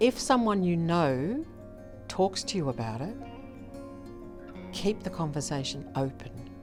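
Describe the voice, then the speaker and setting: Over music in the background, a woman with an Australian accent speaks very slowly in a very deep, low voice with very wide pitch swings. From Melbourne, Australia. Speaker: retired businesswoman, gambling harm lived experience advocate. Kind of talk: interview answer.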